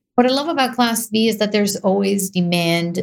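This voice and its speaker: Speaking with an Israeli accent, a woman uses a medium pitch and ordinary pitch variation. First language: Hebrew. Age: young. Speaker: real estate investor. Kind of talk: interview.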